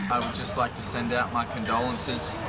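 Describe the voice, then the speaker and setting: Amid loud background noise, a man speaks at a fairly slow pace. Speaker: vlogger. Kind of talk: casual vlog chat. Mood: playful mock-solemn. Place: street. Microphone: phone near.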